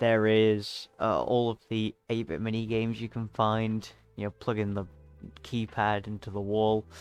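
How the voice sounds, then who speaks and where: A man's fairly low-pitched, monotone, flat delivery over music in the background. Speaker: gaming commentator. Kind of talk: casual monologue. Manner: fast; halting.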